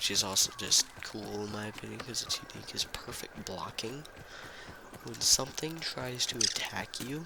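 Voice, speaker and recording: A male speaker with a medium pitch and ordinary pitch variation talks at a moderate pace while noticeable background noise fills the recording. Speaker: gaming YouTuber. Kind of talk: casual gameplay commentary.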